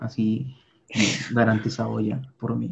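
A man's medium-pitched voice with vocal fry and ordinary pitch variation. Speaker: podcast co-host. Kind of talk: casual chat.

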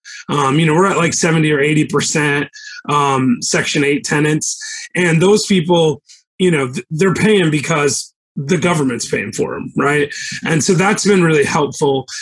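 Here a man speaks in a normal speaking voice at a moderate pace. His pitch is fairly high for a man and varies in an ordinary way. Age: 40s. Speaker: real estate investor, former attorney. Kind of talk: casual interview chat.

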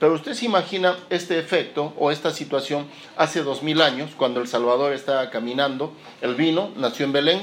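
Audible room echo carries a man's fairly high-pitched voice. He speaks at a moderate pace with ordinary pitch variation. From Peru, Lima. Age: 40s. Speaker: pastor. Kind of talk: sermon. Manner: halting, repeats words.

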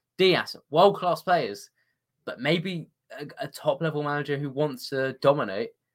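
Speaking fairly slowly with a British accent, a man uses a fairly high pitch, lively intonation and big swings in loudness. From Britain. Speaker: football journalist. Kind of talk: casual chat.

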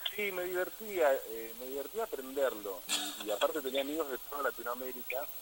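Fairly quick and lively in intonation, a man speaks at a fairly high pitch. Noticeable background noise runs underneath. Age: 40s. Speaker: musician. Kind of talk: interview.

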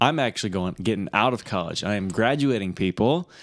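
Recorded very cleanly against a silent background, a man with a Michigan accent and a fairly low pitch speaks at a moderate pace with lively intonation. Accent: Michigan, general northern US. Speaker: podcast co-host, brother. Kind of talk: casual chat.

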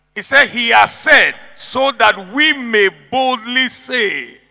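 With an animated tone, a man raises and projects his voice at an extremely high pitch. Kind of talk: sermon, preacher in full flow rallying the congregation. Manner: punchy, repetitive declarations with laughter and praise interjections.

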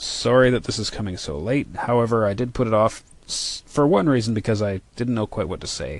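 A man talks at a fairly quick pace with hardly any pauses, in an ordinary speaking voice. His pitch is medium, with ordinary pitch variation. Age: 40s. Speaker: podcaster, hi-fi audio enthusiast. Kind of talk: casual monologue.

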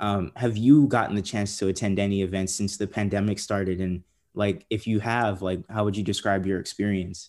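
A man talks at a fairly quick pace in an ordinary speaking voice, fairly low in pitch with fairly even intonation, on a very clean recording with a silent background. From San Diego, California. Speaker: podcast host, TV story producer. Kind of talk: casual interview.

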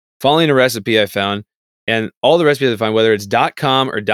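A man with an ordinary speaking voice moves at a fairly quick pace, his pitch varying in an ordinary way. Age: 30s. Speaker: podcast co-host. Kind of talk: casual chat.

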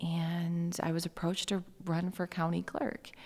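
A woman speaks with an Upper Midwest accent at a medium pitch. Her pace is moderate. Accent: Upper Midwest American. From Michigan, Lansing area. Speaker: county election clerk. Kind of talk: interview. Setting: conference venue.

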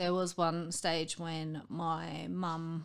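A woman speaks in an Australian accent. Her intonation is monotone and flat. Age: 30s. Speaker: mother with bipolar disorder. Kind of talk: casual chat.

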